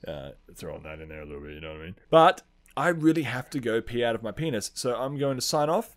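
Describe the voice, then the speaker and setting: Speaking at a very fast pace with very wide pitch swings, a man of medium pitch comes through on a very clean recording with a silent background. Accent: Australian. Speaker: podcast host. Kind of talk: casual chat.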